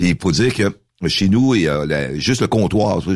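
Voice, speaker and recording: A man speaks at a fairly slow pace with lively intonation and vocal fry. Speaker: mayor and former radio host. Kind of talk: casual radio interview.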